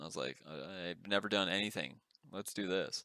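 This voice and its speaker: A man with a very deep, low voice, bright and sharp in tone, speaks with vocal fry and ordinary pitch variation. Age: 30s. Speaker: podcast co-host. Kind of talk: casual chat.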